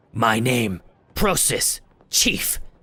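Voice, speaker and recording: Putting on a character voice, a man speaks in a raspy tone at medium pitch. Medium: actual play. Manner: halting broken phrasing.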